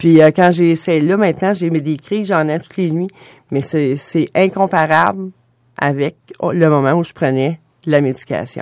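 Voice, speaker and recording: The pace is fairly slow, in a very clean recording with a silent background. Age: 50s. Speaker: patient advocate with restless legs syndrome. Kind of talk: radio interview. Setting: studio.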